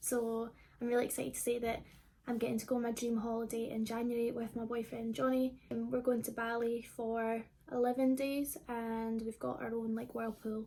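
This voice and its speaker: Here a woman with a Scottish accent talks at a moderate pace. Her fairly high voice has a dark, mellow tone and monotone, flat intonation. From Scotland, Livingston (between Glasgow and Edinburgh). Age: 20s. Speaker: YouTuber. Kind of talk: casual Q&A vlog. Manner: casual, many fillers.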